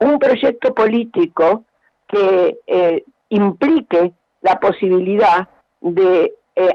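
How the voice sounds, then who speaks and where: The speaker is a woman. Her intonation is lively. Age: 80s+. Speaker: education researcher. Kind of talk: radio interview.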